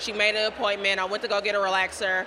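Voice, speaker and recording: Noticeable background noise behind a woman's fairly high voice with an American accent. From Dayton, Ohio. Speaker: journalist, editor. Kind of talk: interview conversation.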